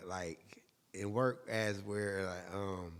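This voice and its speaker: Delivered at a very slow pace, the speech keeps a fairly even intonation. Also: man. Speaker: singer and musician. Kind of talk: casual chat. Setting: podcast recorded at home.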